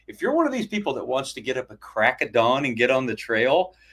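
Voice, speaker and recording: A man's medium-pitched voice, an ordinary speaking voice, with lively intonation at a fairly quick pace. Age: 60s. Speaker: hammock camping YouTuber. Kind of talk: live stream interview. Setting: live stream.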